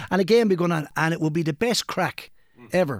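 A man speaks with a Kilkenny Irish accent at a high pitch, his intonation lively. The recording is very clean and dry, close with no echo and a silent background. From Ireland, Kilkenny. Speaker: local soccer podcast co-host and club figure. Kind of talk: casual chat.

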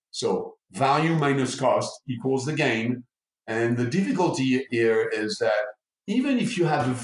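Using a plain, everyday voice, a man with a fairly high pitch speaks at a fairly slow pace. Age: 60s. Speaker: neuromarketing expert. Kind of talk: interview.

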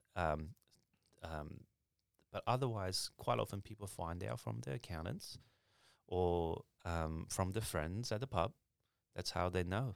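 With long, frequent pauses, a man with a very deep, low pitch and vocal fry speaks with lively intonation in a dry, close sound with no echo on a very clean recording with a silent background. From China. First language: Mandarin. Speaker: accountant. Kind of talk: casual chat.

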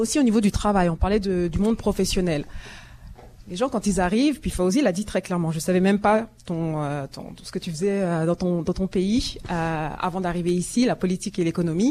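A woman's dark, mellow tone at a fairly quick pace, with ordinary pitch variation. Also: medium pitch for a woman. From France. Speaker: communications and marketing specialist. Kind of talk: live panel discussion. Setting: live broadcast from a community centre with audience.

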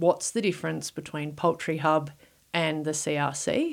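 On a very clean recording with a silent background, the speaker talks in an Australian accent. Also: woman. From Victoria, Australia. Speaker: poultry research director. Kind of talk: interview. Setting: studio.

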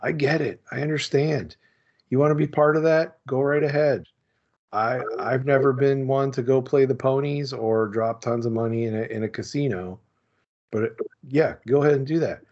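Ordinary pitch variation runs through speech delivered at a moderate pace. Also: man, medium pitch for a man. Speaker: sports card collecting podcaster. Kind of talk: casual chat.

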